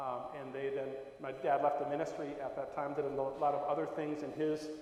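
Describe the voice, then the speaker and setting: Fairly high and monotone with flat intonation, a man's voice moves at a fairly quick pace amid noticeable background noise and audible room echo. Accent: Upper Midwest. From Wisconsin, Milwaukee area. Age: 60s. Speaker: Lutheran bishop. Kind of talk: talk to congregation, personal reminiscence. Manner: hesitant, many fillers.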